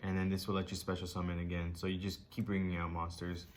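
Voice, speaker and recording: A man speaks at a very fast pace in a very deep, low pitch. Audible room echo surrounds his voice. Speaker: card game YouTuber. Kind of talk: tutorial. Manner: many filler ums.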